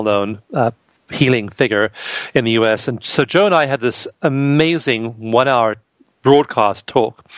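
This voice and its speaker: A man with an unremarkable speaking voice keeps a moderate pace and ordinary pitch variation. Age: 50s. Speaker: author and researcher. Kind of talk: interview.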